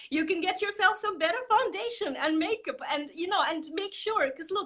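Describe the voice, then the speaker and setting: A woman with a non-native accent speaks in a raised, projected voice at a moderate pace. Her bright, sharp, animated tone makes very wide pitch swings. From Estonia. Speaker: marketing coach. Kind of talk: interview. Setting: live video stream. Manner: halting.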